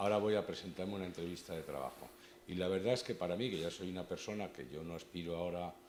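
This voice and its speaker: The speech comes at a very fast pace. Vocal fry runs through the voice. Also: man. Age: 60s. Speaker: bar association board member presenting a talk. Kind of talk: event introduction.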